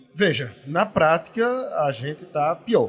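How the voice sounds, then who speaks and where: A man talks fairly slowly with lively intonation while music plays behind him. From Pernambuco, Brazil. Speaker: dental council representative. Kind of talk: podcast interview. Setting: at a dental congress event.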